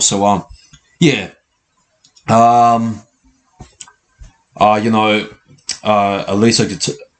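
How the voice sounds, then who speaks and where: An Australian accent marks this man's fairly low voice. He speaks very slowly with fairly even intonation. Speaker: sports channel host. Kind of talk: live match reaction. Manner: halting, many fillers and repeats.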